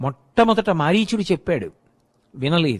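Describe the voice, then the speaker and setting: A man's voice with very wide pitch swings. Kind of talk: Telugu religious discourse (pravachanam).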